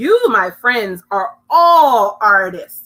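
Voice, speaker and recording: A woman puts on a character voice. Her fairly high pitch swings very widely. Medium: read story. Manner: warm, cheerful.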